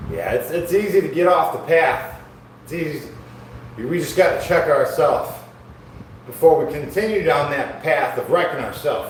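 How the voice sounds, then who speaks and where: A man speaks at a moderate pace with audible room echo. Noticeable background noise is present. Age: 40s. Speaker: fitness streamer doing workout livestream. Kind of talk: casual livestream chat while exercising. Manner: casual, conversational.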